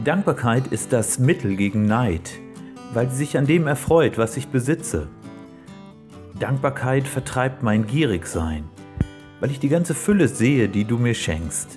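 A man speaks fairly slowly at a medium pitch, with very wide pitch swings and long, frequent pauses. Clear music plays in the background. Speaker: poetry slam performer. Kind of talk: poetry slam performance.

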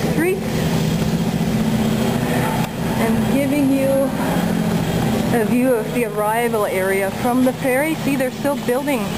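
Loud background noise sits behind a woman speaking at a fairly slow pace with ordinary pitch variation. She leaves long, frequent pauses. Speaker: travel vlogger. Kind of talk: casual travel narration. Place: street. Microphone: phone near.

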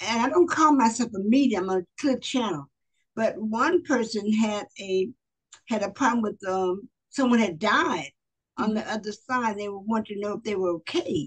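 Against a quiet background, a woman with an American accent talks at a moderate pace, somewhat breathy and with lively intonation. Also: fairly high pitch for a woman. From US South, Pensacola Florida; Florida. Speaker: author and motivational speaker; motivational speaker. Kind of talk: interview. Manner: expressive. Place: home room. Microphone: video call.

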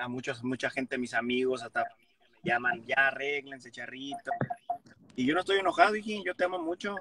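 A man speaks at a fairly quick pace with lively intonation and a fairly high pitch. The sound is dry with no echo, and there is noticeable background noise. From Mexico. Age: 30s. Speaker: comedian. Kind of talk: casual chat. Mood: conciliatory, relaxed. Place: car. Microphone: phone near.

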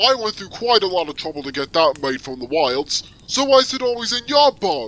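A cartoonish character voice from a man, high-pitched, fairly quick, with very wide pitch swings. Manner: weary, gruff, kindly.

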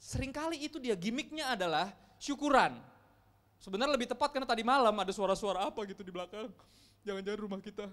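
This man speaks very fast with lively intonation and a high pitch. His loudness swings a lot against a quiet background. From Indonesia. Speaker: pastor. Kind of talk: sermon. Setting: church. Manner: casual, conversational. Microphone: handheld.

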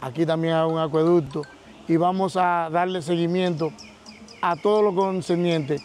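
The man's pitch is fairly high, and his pace is moderate. The sound is dry with no echo, over light background noise. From Dominican Republic. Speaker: co-interviewer. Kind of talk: interview. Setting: outdoors. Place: waterside.

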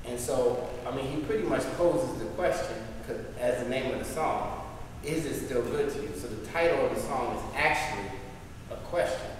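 A man's voice carries strong room echo. Light background noise sits underneath. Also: moderate pace. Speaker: couples ministry group leader. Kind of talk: group discussion. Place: hall. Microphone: camera far.

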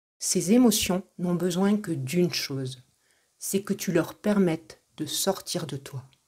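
Speaking at a very slow pace, a woman has a dark, mellow tone, a fairly low pitch, a somewhat breathy quality and ordinary pitch variation. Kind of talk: guided meditation. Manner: soft, calm, slow and soothing.

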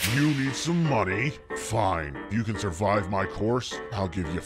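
Over loud music and sound effects in the background, a man uses a put-on character voice at a fairly low pitch and a fairly slow pace. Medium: machinima. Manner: brusque, gruff.

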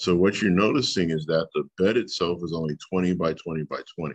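A man talks at a fairly slow pace over a quiet background. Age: 40s. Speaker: teacher. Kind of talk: tutorial. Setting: screen-share video lesson. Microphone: webcam.

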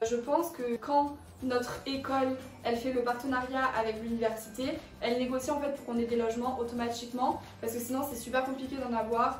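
A woman with a Marseille accent speaks fairly quickly in a high, flat monotone. Audible room echo and light background noise are present. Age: 20s. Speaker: business school student. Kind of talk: casual talk to camera. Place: home room. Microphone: camera far.

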